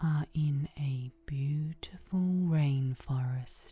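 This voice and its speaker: Very slowly, a woman speaks in a very deep, low voice that is dark, mellow and somewhat breathy. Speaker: meditation guide. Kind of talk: sleep story. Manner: calm, soothing.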